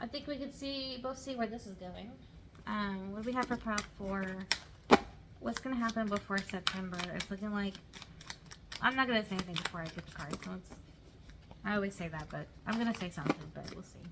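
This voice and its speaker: A woman speaks at a fairly quick pace and a medium pitch, with ordinary pitch variation and big swings in loudness. Her pauses are long and frequent, and background noise is noticeable. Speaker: tarot reader. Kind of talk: pick-a-card tarot reading. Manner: fast; casual, chatty.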